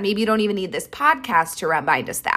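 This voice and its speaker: A woman speaks in an animated tone with very wide pitch swings. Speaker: podcast host. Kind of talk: pep talk. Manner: animated, motivational; direct, tough-love yet warm.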